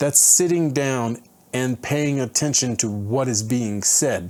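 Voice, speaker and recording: A man talks in a plain, everyday voice at medium pitch. His pace is fairly slow. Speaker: travel vlogger and online English teacher. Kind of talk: casual vlog monologue. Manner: conversational, with many fillers and self-corrections.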